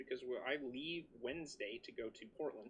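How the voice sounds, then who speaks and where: A loud man's voice, fairly high in pitch, with a bright, sharp tone and lively intonation. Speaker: livestream host of a PC modding channel. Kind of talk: casual livestream chat. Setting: home basement livestream. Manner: animated.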